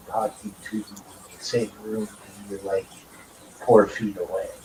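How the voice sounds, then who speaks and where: The pace of this man's speech is fairly slow. Background noise is noticeable. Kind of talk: casual chat. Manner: loud.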